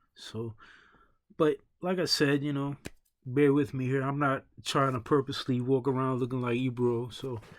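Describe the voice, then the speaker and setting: In a New York accent, the speaker goes at a moderate pace with fairly even intonation and long, frequent pauses. The recording is very clean, with a silent background. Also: man, medium pitch for a man. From New York City, Brooklyn. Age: 40s. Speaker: online show host. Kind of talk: casual opinion monologue. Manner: halting, many fillers and repeats.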